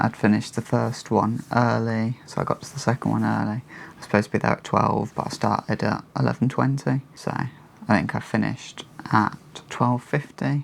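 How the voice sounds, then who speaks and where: At a moderate pace, a man talks with an English accent. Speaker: vlogger and freelance property photographer. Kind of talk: vlog narration to camera. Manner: quiet.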